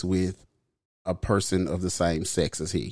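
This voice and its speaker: Recorded very cleanly against a silent background, a man speaks at a fairly slow pace. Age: 30s. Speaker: podcast co-host. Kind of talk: casual chat. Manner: animated. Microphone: says his mic sounds nice.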